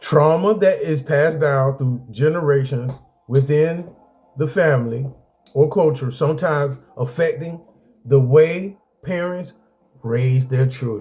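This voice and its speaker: Pausing long and often, a man talks at a fairly slow pace in a fairly high pitch with ordinary pitch variation and a somewhat breathy, dark, mellow tone. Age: 40s. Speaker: video blogger sharing personal experiences. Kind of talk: casual talk with reading from a list.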